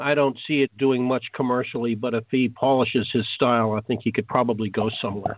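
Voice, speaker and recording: A man at a medium pitch, fairly quick and with hardly any pauses, very even in loudness and fairly even in intonation, over noticeable background noise. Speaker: co-host and announcer. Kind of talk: radio show banter.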